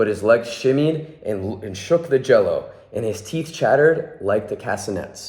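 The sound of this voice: A reading voice, unforced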